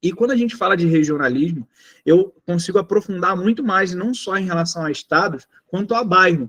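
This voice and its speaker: Recorded dry and close with no echo, a man with a Rio de Janeiro accent speaks at a high pitch with ordinary pitch variation. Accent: carioca. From Rio de Janeiro, Brazil. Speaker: sales trainer. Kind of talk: online training lecture.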